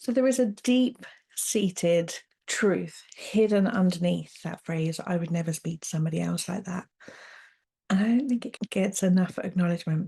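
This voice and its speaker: A woman with a British accent speaks at a medium pitch and a moderate pace. Her voice is somewhat breathy, with ordinary pitch variation. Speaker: podcast host, coach. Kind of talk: solo podcast monologue, self-help talk. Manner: warm, straight-talking, conversational.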